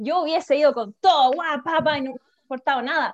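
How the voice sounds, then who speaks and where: A woman with a Chilean accent speaks at a fairly quick pace. Her intonation is lively, and the sound is dry and close with no echo. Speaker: teacher turned holistic therapist. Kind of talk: casual chat.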